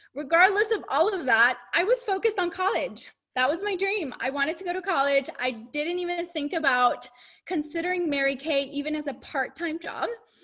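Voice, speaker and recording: Speaking in a raised, projected voice at a fairly quick pace, a woman with an extremely high pitch sounds bright and sharp, her intonation lively. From Mexico (Chihuahua), moved to Arkansas at twelve. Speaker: cosmetics sales director. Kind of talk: testimony.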